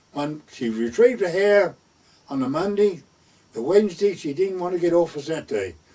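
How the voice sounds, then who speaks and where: A man's dark, mellow voice in an East Anglian accent, at a moderate pace with very wide pitch swings. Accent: rural East Anglian dialect. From North Essex/West Suffolk border, England. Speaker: gamekeeper; war veteran. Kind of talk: oral history storytelling. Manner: conversational, lively dialogue.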